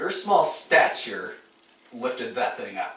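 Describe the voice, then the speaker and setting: Here a man puts on a character voice. He goes at a fairly slow pace with a slight echo. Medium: actual play.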